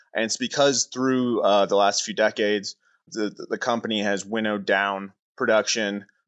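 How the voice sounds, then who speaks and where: A man speaks in a normal speaking voice, fairly low in pitch, with fairly even intonation at a moderate pace. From Oshawa, Southern Ontario. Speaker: news reporter. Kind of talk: interview.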